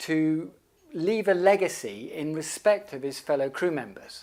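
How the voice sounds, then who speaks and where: This man has a plain, everyday voice, fairly high in pitch, with lively intonation at a fairly slow pace on a very clean recording with a silent background. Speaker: filmmaker. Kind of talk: crowdfunding pitch to camera.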